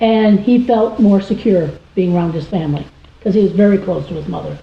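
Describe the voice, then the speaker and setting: A woman talks at a fairly quick pace with ordinary pitch variation in an unremarkable speaking voice. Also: medium pitch for a woman. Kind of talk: interview answer.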